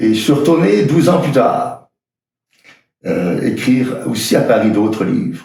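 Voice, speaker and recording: A man speaks at a fairly slow pace with a fairly high pitch and very wide pitch swings. Long pauses come often. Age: 70s. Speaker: priest. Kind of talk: personal video message. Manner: halting, frequent hesitations.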